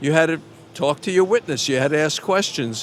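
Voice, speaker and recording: The speaker talks with a Brooklyn accent at a moderate pace. Pitch varies in an ordinary way. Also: man. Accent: New York (Brooklyn). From New York, Brooklyn. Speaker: baseball radio broadcaster, former defense attorney. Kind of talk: interview.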